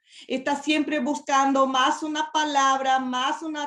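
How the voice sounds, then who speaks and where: A woman speaks at a high pitch with a Portuguese accent. Her pace is fairly slow. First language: Portuguese (speaking Spanish). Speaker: preacher. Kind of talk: sermon. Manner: halting.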